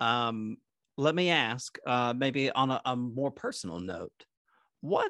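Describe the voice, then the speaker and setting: The quiet background holds a plain, everyday voice from a man. He moves at a fairly slow pace with lively intonation. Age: 30s. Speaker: pastor and podcast host. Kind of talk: casual interview.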